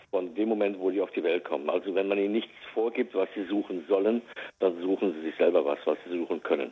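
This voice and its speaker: Very fast speech from a man, fairly low in pitch, its pitch varying in an ordinary way. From Westerwald, western Germany. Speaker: search dog trainer and animal recovery specialist. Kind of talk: casual interview. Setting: phone call.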